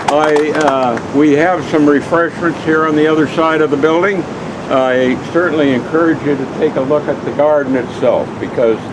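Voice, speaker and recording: Over noticeable background noise and audible room echo, a man with a fairly high pitch speaks at a moderate pace with fairly even intonation. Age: 80s+. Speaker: foundation elder, event host. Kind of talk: closing remarks at ceremony. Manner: halting.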